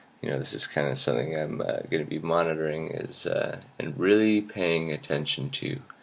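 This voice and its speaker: Amid noticeable background noise, a man with a very deep, low voice talks at a fairly quick pace with lively intonation and hardly any pauses. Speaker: video blogger. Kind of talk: personal video journal monologue. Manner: hesitant, many fillers.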